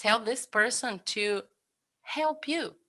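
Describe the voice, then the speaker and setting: A woman's fairly high voice with very wide pitch swings and a bright, sharp tone. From Brazil. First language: Portuguese. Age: 30s. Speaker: cook. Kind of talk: interview. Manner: halting.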